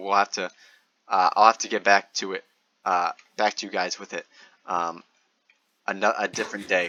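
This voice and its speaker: With a bright, sharp tone and a fairly low pitch, a man talks at a moderate pace in a dry, close sound with no echo. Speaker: gaming youtuber. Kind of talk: gameplay commentary. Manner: monotone; halting, many fillers.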